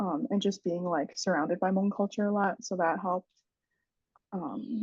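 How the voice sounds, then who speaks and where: A woman with an American accent, somewhat breathy, at medium pitch and a moderate pace, with ordinary pitch variation. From Central Wisconsin, US. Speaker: podcast guest, mental health advocate. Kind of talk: casual interview chat.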